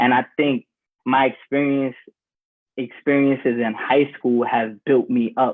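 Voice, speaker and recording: Fairly slow delivery in a New York accent. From New York, the Bronx. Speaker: former student. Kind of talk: panel discussion.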